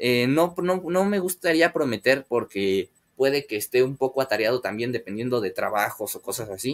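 In a Mexican accent, a man talks at a moderate pace. He uses hardly any pauses. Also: medium pitch for a man, lively intonation. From Mexico. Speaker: aquarium hobby youtuber. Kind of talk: live stream chat with viewers. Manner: hesitant, many filler words. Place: home room. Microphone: webcam.

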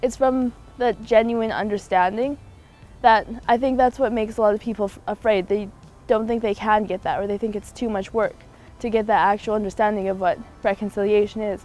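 With a Canadian accent, a woman talks at a fairly quick pace and fairly even intonation. The sound is dry with no echo, and music plays in the background. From Haida Gwaii, British Columbia, Canada. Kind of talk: interview answer. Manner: casual, earnest. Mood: earnest, thoughtful. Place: garden. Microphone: lapel.

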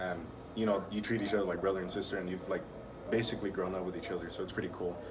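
A man's very deep, low-pitched voice amid noticeable background noise. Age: 20s. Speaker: vlogger. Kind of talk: casual vlog monologue. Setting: at the shop. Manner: halting, many fillers. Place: office. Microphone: phone near.

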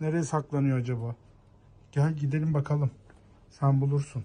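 A woman speaks at a moderate pace in an extremely low voice with a dark, mellow tone. Her intonation stays fairly even.

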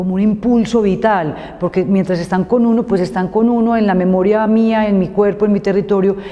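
A woman's flat, monotone delivery. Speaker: guest teacher. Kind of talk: interview answer.

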